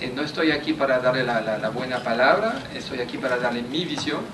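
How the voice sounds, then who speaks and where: A man speaks with a French accent amid noticeable background noise. Audible room echo surrounds his voice. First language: French (speaking Spanish). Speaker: diplomat. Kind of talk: lecture. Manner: halting, with frequent fillers and repetitions.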